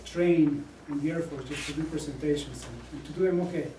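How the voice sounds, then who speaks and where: A man with a Spanish accent and a fairly high pitch at a fairly quick pace, amid noticeable background noise and audible room echo. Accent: Spanish accent, thicker when nervous. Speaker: Air Force officer and student. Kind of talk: prepared speech. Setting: club meeting with audience. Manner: halting, many fillers.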